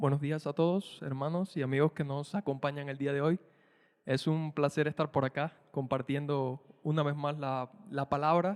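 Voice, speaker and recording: A man speaks with a Cuban accent at a moderate pace. His pitch is fairly high, his intonation fairly even, and the sound is dry and close with no echo. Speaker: preacher. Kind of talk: prayer; sermon.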